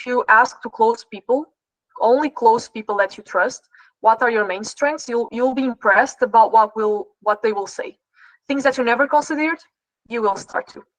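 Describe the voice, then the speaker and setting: A woman with a Portuguese accent speaks at a moderate pace in a high voice, with ordinary pitch variation and big swings in loudness, recorded dry and close with no echo. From Portugal. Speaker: trading performance coach. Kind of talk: live online class Q&A. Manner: halting.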